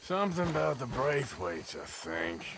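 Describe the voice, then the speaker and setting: Putting on a raspy character voice, a man speaks at a medium pitch and a moderate pace with very wide pitch swings over clear background noise. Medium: video game. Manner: terse, drawling.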